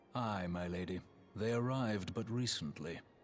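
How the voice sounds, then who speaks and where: A man puts on a character voice while background noise comes through clearly. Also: fairly low pitch for a man, moderate pace. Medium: solo performance. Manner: slow, solemn, formal.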